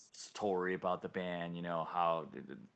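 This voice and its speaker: A man with an Italian accent speaks at a moderate pace in a very deep, low pitch. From Italy, Rome. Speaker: metal band vocalist. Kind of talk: interview. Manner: halting, many fillers.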